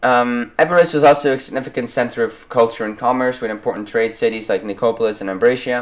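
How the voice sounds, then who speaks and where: A man with a non-native accent speaks at medium pitch with fairly even intonation. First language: not English. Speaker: history YouTuber. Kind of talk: educational narration. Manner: halting, many fillers.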